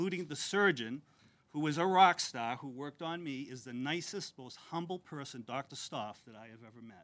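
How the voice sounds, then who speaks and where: A man talks with lively intonation at a moderate pace, his pitch fairly high, on a very clean recording with a silent background. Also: big swings in loudness. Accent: Massachusetts. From Methuen, Massachusetts. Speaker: board of trustees chair. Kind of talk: ceremony speech.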